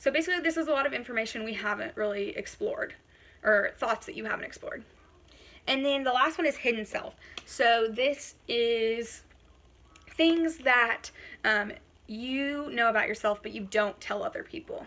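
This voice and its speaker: Loud and high-pitched, a woman speaks at a moderate pace with lively intonation. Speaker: college instructor. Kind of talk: lecture. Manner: animated.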